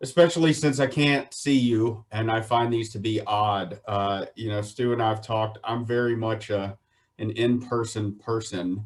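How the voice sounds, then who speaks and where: A man with a Southern US accent, medium pitch, ordinary pitch variation, and a moderate pace. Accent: Southern American. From US South, Virginia (Shenandoah Valley). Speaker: poultry water quality specialist. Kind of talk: webinar presentation. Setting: online webinar.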